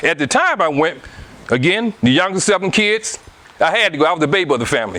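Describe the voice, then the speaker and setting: Talking at a very fast pace with an American accent, a man has a high pitch and lively intonation, with noticeable background noise behind him. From US South, Anniston, Alabama. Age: 60s. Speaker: guest speaker on relationships. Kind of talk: casual interview talk.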